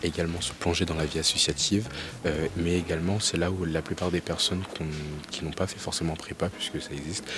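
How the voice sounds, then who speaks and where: A man's very deep, low voice at a fairly quick pace, flat and monotone, over noticeable background noise. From Paris region, France. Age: 20s. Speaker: business school student. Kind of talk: interview. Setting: school library. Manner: halting, many fillers.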